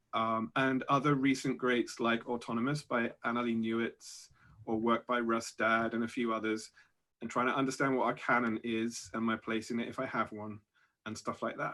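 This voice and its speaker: A man with a British accent and a bright, sharp tone, monotone and flat in intonation, in a very clean recording with a silent background. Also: medium pitch for a man, moderate pace. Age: 40s. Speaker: science fiction author. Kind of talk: panel discussion.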